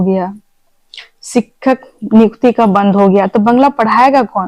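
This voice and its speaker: In a Bengali accent, a woman talks with fairly even intonation and a fairly high pitch. The sound is dry and close, with no echo. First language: Bengali (speaking Hindi). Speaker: Bengali community activist. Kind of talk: interview.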